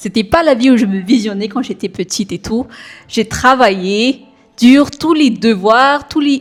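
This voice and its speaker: Speaking at a fairly slow pace, a woman with a slight non-native accent uses a fairly high pitch and ordinary pitch variation. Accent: slightly non-native French. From Madagascar. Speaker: software developer. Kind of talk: podcast interview. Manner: hesitant, many fillers.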